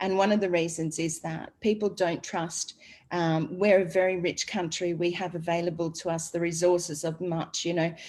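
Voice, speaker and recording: An Australian-accented woman at a moderate pace, fairly low in pitch and monotone. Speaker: online business presenter. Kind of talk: group presentation and discussion.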